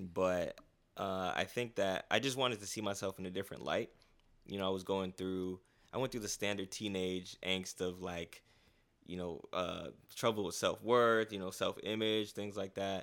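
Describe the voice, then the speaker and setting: Recorded very cleanly with a silent background, a man with an American accent has a normal speaking voice, fairly low pitch, fairly even intonation and a moderate pace. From South Florida (Fort Lauderdale), Haitian family. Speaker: photographer. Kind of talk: casual interview chat.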